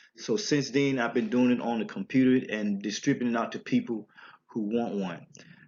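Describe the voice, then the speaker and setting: With a strong Southern US accent, a man talks at a fairly quick pace in a medium pitch with ordinary pitch variation. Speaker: religious teacher. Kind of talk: religious teaching talk. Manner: halting.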